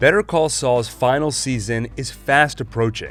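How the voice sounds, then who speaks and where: Fairly slow speech over music in the background. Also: man. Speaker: TV review YouTuber. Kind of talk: spoken review to camera.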